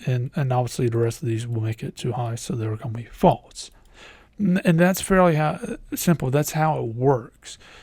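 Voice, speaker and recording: Somewhat breathy, a man speaks with a medium pitch, lively intonation and a moderate pace. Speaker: IT instructor. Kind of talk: tutorial. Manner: halting, many fillers.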